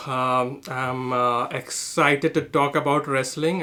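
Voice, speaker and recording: Bright and sharp in tone, a man with a fairly high pitch speaks at a fairly slow pace with fairly even intonation. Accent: strong Indian. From India. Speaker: comedian. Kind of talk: casual chat. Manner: halting, many fillers.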